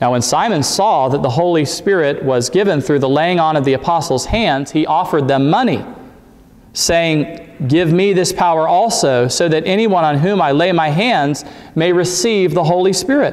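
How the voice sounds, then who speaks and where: A man speaks at a high pitch. His loudness stays very even. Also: ordinary pitch variation, moderate pace. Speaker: preacher. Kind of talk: scripture reading in a sermon. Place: church.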